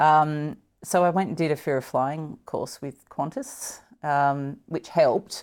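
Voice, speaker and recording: Fairly slow delivery with an Australian accent and ordinary pitch variation, on a very clean recording with a silent background. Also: woman, very deep, low pitch for a woman. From Tasmania, Australia. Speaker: politician, former foreign correspondent. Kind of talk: casual interview.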